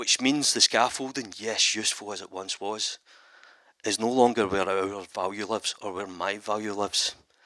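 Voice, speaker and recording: In a Scottish accent, a man with a fairly low pitch and a bright, sharp tone talks at a moderate pace with ordinary pitch variation, recorded very cleanly against a silent background with a dry, close sound and no echo. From Scotland. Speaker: animator and visual artist. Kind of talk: conference talk. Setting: stage with audience. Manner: animated.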